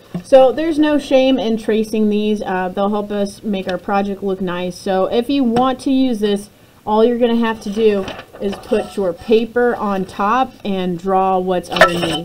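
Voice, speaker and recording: A woman with a medium pitch speaks at a fairly slow pace with ordinary pitch variation. Noticeable background noise sits behind her. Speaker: elementary art teacher. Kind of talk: tutorial for young children.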